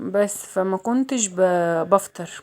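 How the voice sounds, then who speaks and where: This is a woman speaking. She has an Egyptian accent. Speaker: vlogger. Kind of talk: casual vlog chat. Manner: chatty, repetitive.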